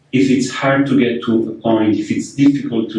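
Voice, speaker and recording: A man with a non-native accent and fairly even intonation, heard with audible room echo. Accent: foreign. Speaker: architect and workshop leader. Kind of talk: lecture. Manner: hesitant, many fillers and repetitions.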